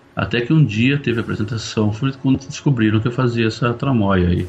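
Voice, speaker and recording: A somewhat breathy man talks at a fairly quick pace, medium in pitch with fairly even intonation. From São Paulo, Brazil. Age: 50s. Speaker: conductor. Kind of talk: casual chat.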